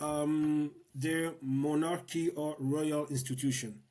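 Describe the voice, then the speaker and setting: In a Congolese accent, a man speaks with a dark, mellow tone at a fairly high pitch. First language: Lingala. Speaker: political activist and educator. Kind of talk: interview conversation. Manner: halting, many repetitions.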